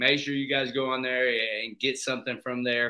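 Here is a normal speaking voice with an American accent. The intonation stays fairly even. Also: man. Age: 20s. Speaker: podcast host, head football coach. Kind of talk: casual chat. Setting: video call.

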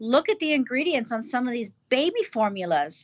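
With an American accent, a woman speaks at a moderate pace in a high pitch that swings very widely. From US. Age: 40s. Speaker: school co-founder. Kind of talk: interview.

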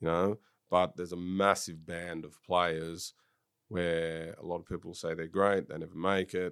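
A man with an Australian accent speaks at a moderate pace with a very deep, low pitch and monotone, flat intonation. His loudness swings widely, and the recording is very clean with a silent background. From Sydney, Australia. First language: French. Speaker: football director, former professional footballer. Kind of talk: casual interview.

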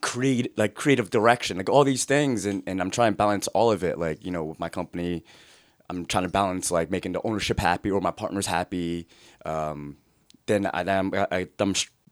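With an American accent, a man speaks fairly quickly at a very deep, low pitch, with ordinary pitch variation. The very clean recording has a silent background and a dry, close sound with no echo. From New Jersey, US. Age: 30s. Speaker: social media creator. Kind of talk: casual chat.

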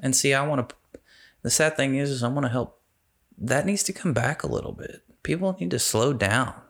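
This man has an unremarkable speaking voice at medium pitch. He talks at a fairly quick pace with lively intonation. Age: 30s. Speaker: city council candidate, veteran. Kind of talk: casual interview.

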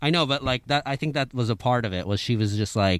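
A man talks at a medium pitch and a fairly quick pace. It is an ordinary speaking voice. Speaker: podcast host. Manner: joking.

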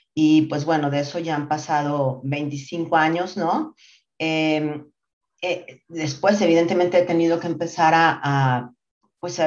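The speech moves at a very slow pace with fairly even intonation. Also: woman. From Mexico City. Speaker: marketing executive. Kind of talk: interview. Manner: hesitant fillers, repeats words.

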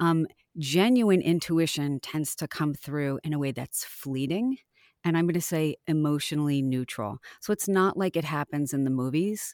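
A woman with a very deep, low pitch talks at a moderate pace with lively intonation, in a dry, close sound with no echo and a very clean recording over a silent background. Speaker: health psychologist. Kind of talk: interview.

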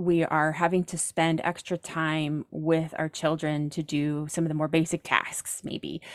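A woman's very deep, low voice in an American accent, monotone and flat at a fairly slow pace with hardly any pauses, dry and close with no echo, on a very clean recording with a silent background. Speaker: professional organizer. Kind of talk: casual chat.

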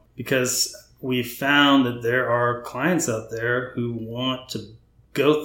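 Audible room echo surrounds the recording. A man speaks with an American accent and fairly even intonation. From North Texas (Frisco). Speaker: home builder. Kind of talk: casual interview.

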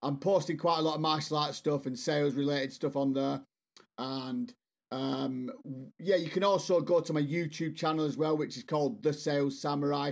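The voice carries an English accent. It moves at a moderate pace with ordinary pitch variation. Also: man, fairly high pitch for a man. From northwest England, Bolton. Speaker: sales strategist and author. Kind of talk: interview.

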